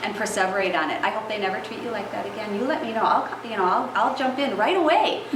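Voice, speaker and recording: Through audible room echo and noticeable background noise, a woman speaks at a fairly high pitch with lively intonation. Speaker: preschool teacher. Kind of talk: talk to parents. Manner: fast.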